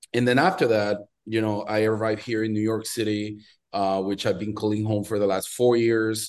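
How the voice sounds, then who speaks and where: Speaking in a monotone, flat intonation, a man with a Venezuelan accent uses a fairly low pitch. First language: Spanish. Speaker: watch brand founder and collector. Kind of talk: casual interview chat.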